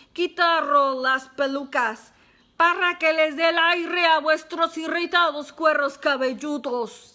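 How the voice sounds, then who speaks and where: Shouting in a put-on character voice, a woman speaks with an extremely high, guttural sound at a fairly slow pace. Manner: commanding, shouting.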